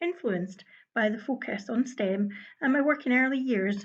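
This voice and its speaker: With a Scottish accent, a woman talks at a moderate pace in a fairly high voice with lively intonation over a quiet background. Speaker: early years education lead. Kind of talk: conference presentation. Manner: formal.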